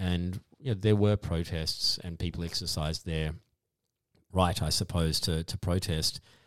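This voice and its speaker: A man with an Australian accent, very deep and low in pitch, at a fairly slow pace with fairly even intonation. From Tasmania, Australia. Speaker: economist and academic. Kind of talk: podcast interview.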